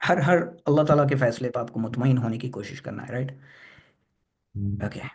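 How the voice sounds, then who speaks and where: At a moderate pace, a man speaks at medium pitch with ordinary pitch variation. His voice is somewhat breathy and swings widely in loudness. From Hyderabad, India. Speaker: presenter at a religious discussion forum. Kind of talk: Q&A answer in an online discussion forum. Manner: halting, many fillers; Hindi-English code-switching.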